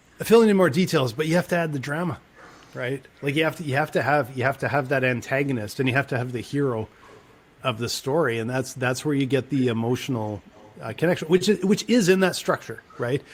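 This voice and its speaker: A somewhat breathy man with a fairly high pitch and lively intonation. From Canada. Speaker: podcast co-host. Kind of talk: casual chat. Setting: at home.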